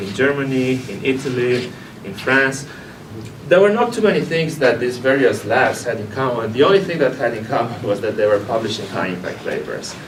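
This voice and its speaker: Over noticeable background noise and audible room echo, a man at a medium pitch speaks at a fairly quick pace with ordinary pitch variation. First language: Romanian. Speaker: biochemistry professor. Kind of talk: career talk. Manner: halting.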